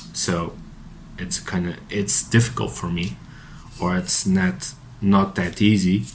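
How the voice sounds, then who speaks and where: A man with a Portuguese accent speaks at a very slow pace in a very deep, low pitch. His intonation is lively, with long, frequent pauses. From Portugal. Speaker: psychotherapist. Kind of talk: unscripted monologue. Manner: halting, many fillers and repetitions.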